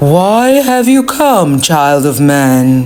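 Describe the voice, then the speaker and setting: Over clear background noise, a man puts on a character voice pitched fairly high. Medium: read story. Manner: solemn, cryptic.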